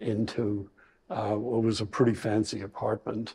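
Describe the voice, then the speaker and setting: A man with an Irish accent, a fairly low pitch and a dark, mellow, somewhat breathy tone, at a fairly slow pace against a quiet background. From Ireland, Bray near Dublin. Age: 70s. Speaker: retirement community resident. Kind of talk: interview. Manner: halting.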